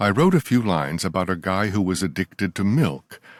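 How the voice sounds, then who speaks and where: A man's very deep, low voice with vocal fry and lively intonation, at a moderate pace, dry and close with no echo, on a very clean recording with a silent background. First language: not English. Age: 60s. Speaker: author. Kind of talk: reading aloud. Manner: formal.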